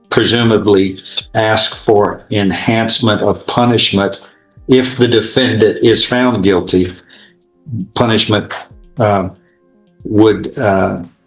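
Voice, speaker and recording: A man speaks very slowly at a fairly low pitch, with long, frequent pauses and very even loudness. Music plays in the background. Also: fairly even intonation. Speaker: judge. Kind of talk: courtroom proceedings. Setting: courtroom.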